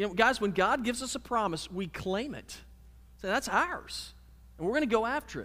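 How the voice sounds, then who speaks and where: A man speaks in a raised, projected voice with a bright, sharp tone, high pitch, lively intonation, a fairly quick pace and big swings in loudness. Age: 30s. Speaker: pastor. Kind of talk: sermon. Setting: church.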